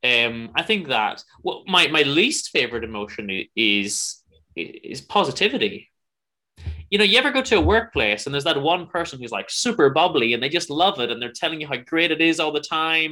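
A man with a Northern Irish accent talks in a fairly high pitch with very wide pitch swings, a bright, sharp tone and vocal fry. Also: moderate pace. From Northern Ireland. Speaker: podcaster and musician. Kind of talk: casual chat. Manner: halting.

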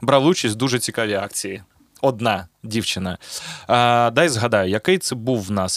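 This is an ordinary speaking voice from a man at medium pitch. The sound is dry and close with no echo, and the pitch variation is ordinary. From Zaporizhzhia, Ukraine. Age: 30s. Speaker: podcast host and rapper. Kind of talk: casual chat.

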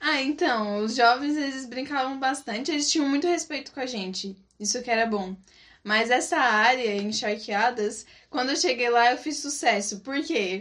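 A woman's high pitch in lively intonation at a fairly slow pace. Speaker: former missionary. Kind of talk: casual chat. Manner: animated.

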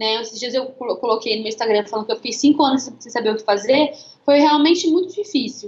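This woman speaks with very wide swings in pitch. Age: 20s. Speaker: missionary and digital content creator. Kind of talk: casual chat on a live stream.

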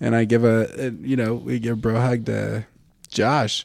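Recorded very cleanly against a silent background, a man speaks in a dark, mellow tone at a medium pitch. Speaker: podcast co-host. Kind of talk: casual chat.

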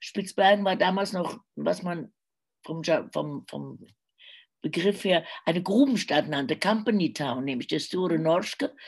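Using vocal fry and a fairly low pitch, a woman speaks at a fairly slow pace with lively intonation. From Germany, Cologne. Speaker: crime novelist and radio journalist. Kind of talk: casual interview. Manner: hesitant, many filler sounds.

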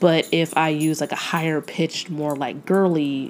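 Against noticeable background noise, a woman with an American accent speaks fairly slowly in a very deep, low voice and a fairly even intonation. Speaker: podcast host and historian. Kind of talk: solo podcast monologue, casual educational talk. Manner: conversational, with filler words and laughs.

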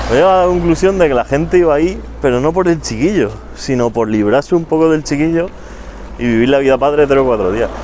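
Speech comes at a very fast pace with lively intonation and very even loudness. Noticeable background noise sits behind it. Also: man. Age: 20s. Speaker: podcast co-host. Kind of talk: casual chat.

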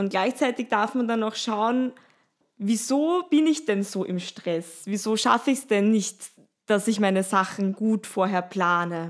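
In a very clean recording with a silent background, a woman with a normal speaking voice and fairly high pitch speaks at a fairly slow pace. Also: lively intonation. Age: 30s. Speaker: yoga teacher and sound healer. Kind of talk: casual chat.

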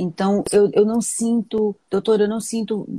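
A woman speaks at a medium pitch with a somewhat breathy voice. The recording is dry and close, without echo. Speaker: gynecologist. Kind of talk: casual interview conversation.

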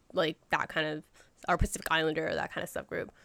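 A woman speaks with an American accent in a dry, close recording with no echo. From US, Southern California (San Gabriel Valley). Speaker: guest interviewee. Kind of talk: casual chat. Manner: giggly, uses 'like' a lot.

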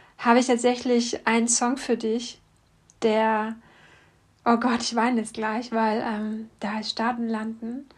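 Somewhat breathy and fairly high in pitch, a woman speaks at a fairly slow pace in a very clean recording with a silent background. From East Germany. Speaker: podcast host, singer-songwriter. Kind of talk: personal monologue.

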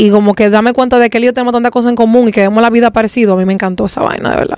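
Animated and fairly high-pitched, a woman with a Dominican accent speaks with ordinary pitch variation over noticeable background noise. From Dominican Republic, Santo Domingo. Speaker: singer. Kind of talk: casual chat.

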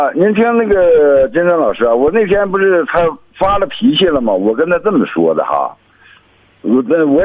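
A man with a high-pitched voice speaks with very wide swings in pitch. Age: 50s. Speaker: caller, laid-off worker. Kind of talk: phone-in conversation. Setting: phone call. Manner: halting, many fillers.

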